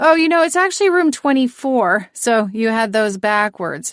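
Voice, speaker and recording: Delivered at a moderate pace in a put-on character voice, the speech has very wide pitch swings and a dry, close sound with no echo. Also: woman, fairly high pitch for a woman. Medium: read story. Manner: smooth, unbothered.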